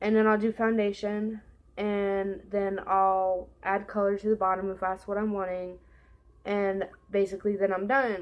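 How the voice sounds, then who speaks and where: A woman with an American accent at a moderate pace, her intonation monotone and flat. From California. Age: 20s. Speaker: beauty vlogger. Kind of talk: casual makeup tutorial chat. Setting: at home. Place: home room. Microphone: webcam.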